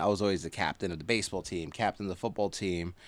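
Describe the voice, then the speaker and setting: With an American accent and fairly even intonation, a man is heard in a very clean recording with a silent background. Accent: Jersey accent (remarked as Boston-like). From New Jersey, Hudson County (North Bergen). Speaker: local news writer and community figure. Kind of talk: casual chat.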